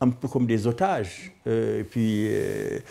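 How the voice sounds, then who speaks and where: A man speaks very slowly while music plays in the background. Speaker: retired activist, interviewee. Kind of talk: documentary interview. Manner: halting, many repetitions.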